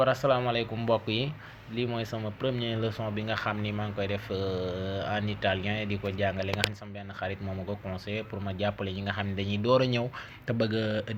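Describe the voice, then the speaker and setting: The speech is monotone and flat, at a fairly quick pace. Noticeable background noise is present. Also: man, fairly low pitch for a man. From Senegal. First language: Wolof (speaking Italian). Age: 30s. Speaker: language teacher. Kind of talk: tutorial.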